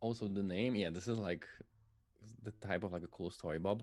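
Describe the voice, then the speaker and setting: Someone speaks at a very fast pace with a Polish accent. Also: man. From Poland. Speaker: musician and streamer. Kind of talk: casual interview chat. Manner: halting.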